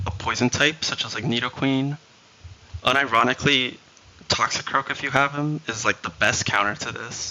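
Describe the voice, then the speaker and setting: Speaking at a moderate pace, a man has a medium pitch with ordinary variation. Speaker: video game streamer. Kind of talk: live stream commentary giving strategy advice.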